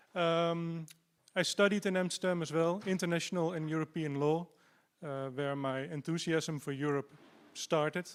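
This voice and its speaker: The speaker has a Dutch accent, captured in a very clean recording with a silent background. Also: man, fairly high pitch for a man, fairly even intonation, moderate pace. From Netherlands. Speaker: party candidate. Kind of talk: campaign speech.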